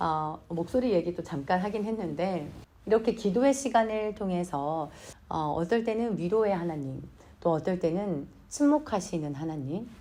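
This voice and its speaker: The tone is dark and mellow with lively intonation. The pace is fairly slow. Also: woman. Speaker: church minister. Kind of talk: devotional talk.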